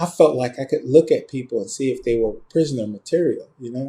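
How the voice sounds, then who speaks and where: A man with a dark, mellow, somewhat breathy tone speaks at a fairly quick pace, his medium pitch varying in an ordinary way. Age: 60s. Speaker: screenwriter. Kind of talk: interview. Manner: halting.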